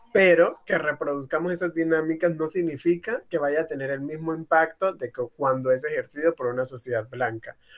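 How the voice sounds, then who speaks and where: Using a plain, everyday voice, a man speaks at a moderate pace with hardly any pauses, his pitch fairly high with ordinary variation. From Colombian Pacific coast, Tumaco. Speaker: activist. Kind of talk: panel discussion. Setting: video call.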